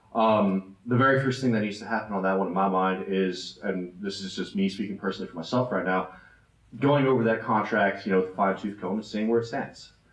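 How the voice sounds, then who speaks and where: Audible room echo surrounds a man with a fairly low pitch. He speaks very fast with fairly even intonation. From Germany. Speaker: city council candidate. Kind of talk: candidate forum answer. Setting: church hall with audience.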